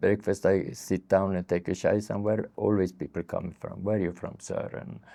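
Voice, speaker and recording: A man speaks in a dark, mellow tone with vocal fry. The background is quiet. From Sweden. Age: 70s. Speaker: street therapist. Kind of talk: interview. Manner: halting.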